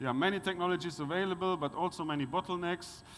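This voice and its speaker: A man speaks with a German accent. His intonation is fairly even. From Germany. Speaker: conference speaker on wastewater resource recovery. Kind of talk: conference presentation. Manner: halting, many fillers.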